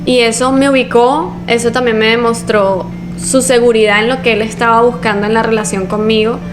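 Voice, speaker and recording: A woman with a Caracas accent speaks at a moderate pace, fairly even intonation and very even loudness, with music in the background and audible room echo. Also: fairly high pitch for a woman. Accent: Caracas Venezuelan. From Venezuela, Caracas. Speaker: podcast co-host. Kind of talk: casual chat.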